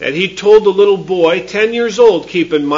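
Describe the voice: What you hear is plain reading aloud.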